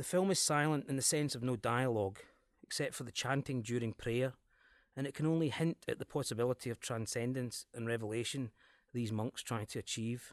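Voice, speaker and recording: With a Glaswegian accent, a man talks at a fairly quick pace in an enthusiastic tone, his medium pitch varying in an ordinary way, over a quiet background in a dry, close recording with no echo. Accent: Scottish, Glasgow area. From Glasgow area, Scotland. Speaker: cinema programmer, podcast presenter. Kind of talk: scripted-style podcast presentation about films. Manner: informal, enthusiastic.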